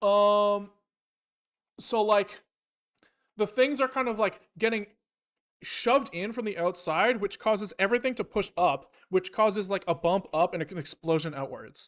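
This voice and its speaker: A man speaks at a high pitch with ordinary pitch variation and long, frequent pauses. The sound is dry and close, with no echo. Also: moderate pace. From western Canada, Vancouver. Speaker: programming live streamer. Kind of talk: live coding stream, casual chat. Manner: casual, thinking aloud with fillers and self-corrections.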